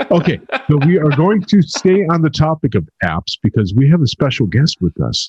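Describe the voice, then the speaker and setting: A man's fairly high, somewhat breathy voice with lively intonation, a moderate pace and very even loudness, in a dry, close sound with no echo. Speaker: podcast co-host. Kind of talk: casual chat.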